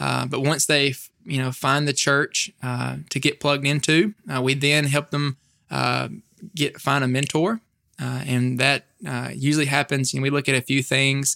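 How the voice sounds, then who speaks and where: In a Mississippi accent, the voice has a bright, sharp tone, a moderate pace and fairly even intonation, with a dry, close sound and no echo. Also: man, fairly high pitch for a man. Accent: Southern US (Mississippi). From US South, northeast Mississippi. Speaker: campus ministry staff member. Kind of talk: interview.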